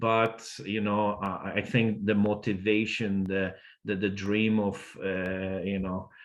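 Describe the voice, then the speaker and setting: The background stays quiet. The voice carries a non-native accent. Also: man. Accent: foreign. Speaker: immigrant advocate. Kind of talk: panel discussion. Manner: halting, many fillers.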